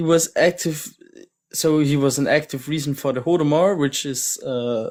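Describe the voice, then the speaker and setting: Delivered at a moderate pace, the speech comes from a very clean recording with a silent background. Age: 18. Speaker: debate participant. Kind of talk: live-stream debate. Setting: TikTok livestream. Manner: halting, hesitant.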